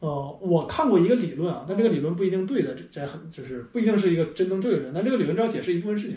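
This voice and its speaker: Talking very fast with hardly any pauses, a man with a high pitch uses lively intonation and big swings in loudness. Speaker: tech startup CEO and podcaster. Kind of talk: casual chat. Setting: over a meal at the host's home.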